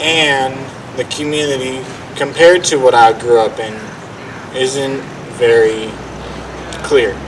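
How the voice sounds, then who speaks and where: In a Los Angeles accent, the speaker goes at a fairly slow pace with fairly even intonation and long, frequent pauses. Noticeable background noise and audible room echo surround the voice. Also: man, medium pitch for a man. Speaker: community member speaker. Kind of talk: informal public speech. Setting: outdoor park event with audience. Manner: halting.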